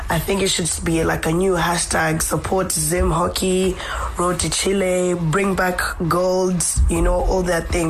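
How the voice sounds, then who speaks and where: Noticeable background noise accompanies a woman speaking at a moderate pace in a fairly low voice. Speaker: hockey pundit and academy secretary. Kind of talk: radio interview, conversational. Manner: fluent, thoughtful, with fillers like 'you know'.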